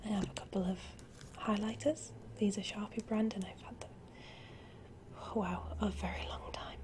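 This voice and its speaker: The speaker is soft-spoken, with noticeable background noise behind them. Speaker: ASMR creator. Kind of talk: ASMR show and tell.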